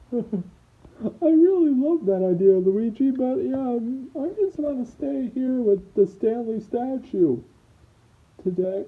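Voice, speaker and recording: Using a put-on character voice, a woman speaks fairly slowly at a fairly high pitch with very wide pitch swings. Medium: audio drama. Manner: hesitant, stammering.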